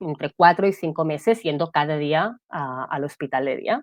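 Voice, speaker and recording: A woman talks in a Catalan accent with lively intonation. Her pitch is fairly low. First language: Catalan (speaking Spanish). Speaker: guest sharing mental health testimony. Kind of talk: testimony.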